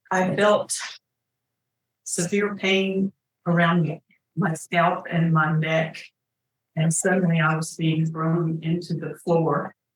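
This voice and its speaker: The voice is somewhat breathy with monotone, flat intonation. It moves at a very slow pace, broken by long, frequent pauses. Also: woman, fairly low pitch for a woman. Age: 70s. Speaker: crime victim witness. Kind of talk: courtroom testimony. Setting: courtroom.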